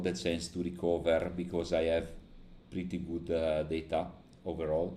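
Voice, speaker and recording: In a room with audible echo, a man talks in a dark, mellow tone. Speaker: day trader streamer. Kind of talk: live trading stream commentary. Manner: halting, many fillers.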